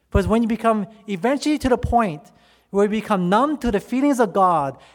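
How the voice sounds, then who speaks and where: Very wide pitch swings in a man's high voice. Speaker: preacher. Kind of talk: impassioned sermon, preacher in full flow, rallying the audience to say amen. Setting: stage with audience. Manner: animated, fervent, pleading, call-and-response.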